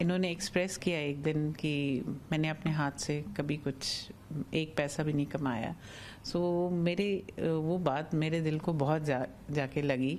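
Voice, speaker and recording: A woman with a very deep, low pitch at a very slow pace, fairly even intonation and very even loudness, over light background noise. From India. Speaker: entrepreneur's daughter. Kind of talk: interview. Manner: halting. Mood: warm, heartfelt. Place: home room. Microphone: handheld.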